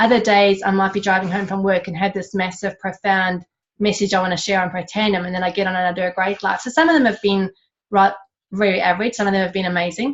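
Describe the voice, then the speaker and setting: Speaking very fast with an Australian accent, a woman keeps a medium pitch and fairly even intonation. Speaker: network marketing distributor. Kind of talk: panel interview.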